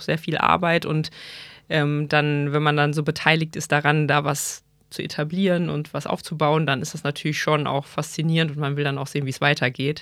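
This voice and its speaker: The speaker is a woman with a very deep, low pitch. The recording is very clean, the background silent. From Rhineland, Germany (Bonn). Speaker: physician. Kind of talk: casual interview. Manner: hesitant, many filler sounds.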